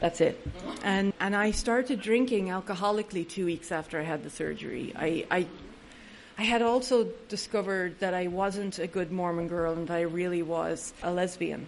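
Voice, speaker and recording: A woman speaks at a moderate pace with an Irish accent, her medium pitch showing ordinary variation. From Ireland. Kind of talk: recovery talk to an audience. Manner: humorous.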